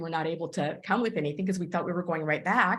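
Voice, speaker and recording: This woman's voice sits at a fairly low pitch with ordinary pitch variation. It is somewhat breathy. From Texas, US (Cuban-born, arrived age five). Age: 60s. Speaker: business mentor. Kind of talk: mentoring talk. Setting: conference call.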